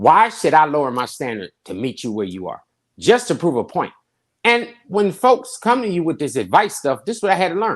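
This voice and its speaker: Against a quiet background, a man talks at a fairly quick pace in an animated tone, his high pitch swinging very widely. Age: 50s. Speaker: pastor. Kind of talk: panel discussion. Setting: podcast.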